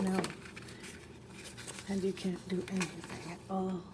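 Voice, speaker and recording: Soft-spoken and medium in pitch, a woman talks over noticeable background noise. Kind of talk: casual crafting talk to camera. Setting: home, refrigerator hum in background.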